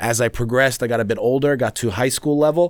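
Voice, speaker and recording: Very clean recording with a silent background of a man at medium pitch and a fairly quick pace. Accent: New York. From New York City. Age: 30s. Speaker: expat guest living in Sweden. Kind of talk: casual chat.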